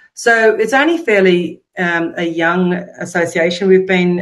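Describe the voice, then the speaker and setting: A woman at a very slow pace and fairly low pitch, against a quiet background. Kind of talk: presentation talk. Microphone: webcam.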